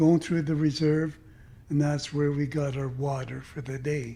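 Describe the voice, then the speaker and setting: A man's dark, mellow, somewhat breathy voice moves at a moderate pace with fairly even intonation. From Squamish Nation, North Vancouver, British Columbia, Canada. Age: 80s+. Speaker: residential school survivor, retired longshoreman. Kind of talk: interview, personal life story. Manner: reflective, with frequent fillers.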